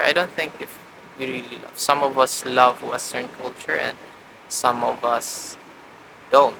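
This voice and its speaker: A man with a Visayan Filipino accent at a medium pitch and fairly slow pace, with fairly even intonation, big swings in loudness, long, frequent pauses and noticeable background noise. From Philippines, Mindanao (Cagayan de Oro). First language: Bisaya (Cebuano). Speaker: vlogger practicing speaking. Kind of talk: talking to camera practice monologue. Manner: halting, with fillers and repetitions.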